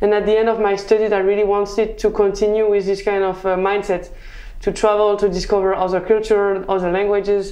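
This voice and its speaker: In a French accent, a woman talks at a fairly quick pace with monotone, flat intonation. Her tone is dark and mellow, and audible room echo surrounds it. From southern France. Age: 20s. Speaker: mechanical engineer. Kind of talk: interview. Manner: halting.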